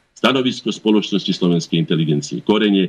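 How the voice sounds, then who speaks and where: The intonation moves in a lively way. It belongs to a man. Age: 60s. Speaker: head of a cultural association. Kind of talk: interview. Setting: phone call.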